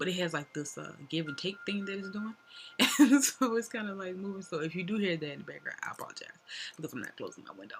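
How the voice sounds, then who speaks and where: A woman's voice over noticeable background noise. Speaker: tarot reader. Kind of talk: casual tarot reading monologue. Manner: fast; casual, chatty with fillers.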